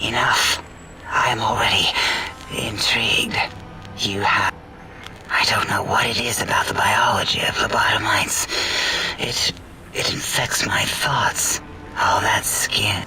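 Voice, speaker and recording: A put-on character voice, whispering at a fairly slow pace. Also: man. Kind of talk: video game voice acting. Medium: game stream. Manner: eccentric, clinical, rambling.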